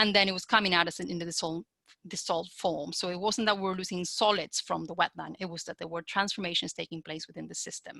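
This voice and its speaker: Speaking very fast, a woman has a fairly low pitch, a bright, sharp tone, vocal fry and fairly even intonation. Her loudness swings widely, and the sound is dry and close with no echo. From Argentina. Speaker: wetland treatment expert, webinar speaker. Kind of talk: webinar talk and Q&A. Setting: online webinar. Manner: halting, many fillers.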